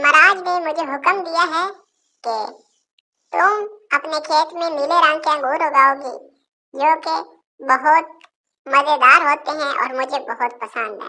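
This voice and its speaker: In a cartoonish character voice, a woman speaks at a high pitch and a moderate pace, leaving long, frequent pauses. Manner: sweet and trusting.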